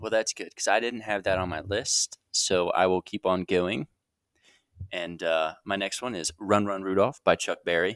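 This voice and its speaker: A man speaks in a fairly low pitch at a moderate pace. The sound is dry and close with no echo, on a very clean recording with a silent background. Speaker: host's long-term partner. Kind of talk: casual chat.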